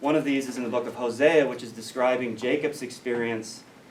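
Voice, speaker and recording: A man of medium pitch with an American accent and fairly even intonation, heard with audible room echo and noticeable background noise. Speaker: biblical studies scholar. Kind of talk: lecture. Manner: hesitant fillers.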